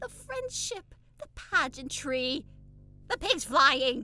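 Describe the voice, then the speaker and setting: Over music in the background, a female-sounding voice puts on a high-pitched character voice and speaks at a very slow pace. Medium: audio drama. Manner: emotional, effusive.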